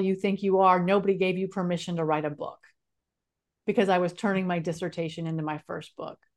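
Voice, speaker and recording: A woman at medium pitch, talking at a very fast pace with fairly even intonation over a quiet background. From California. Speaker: speaker and author. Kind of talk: interview storytelling.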